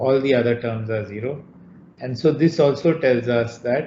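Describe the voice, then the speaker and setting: A man speaks somewhat breathily at a fairly slow pace, with ordinary pitch variation. Audible room echo and light background noise surround him. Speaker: university lecturer. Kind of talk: lecture. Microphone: video call.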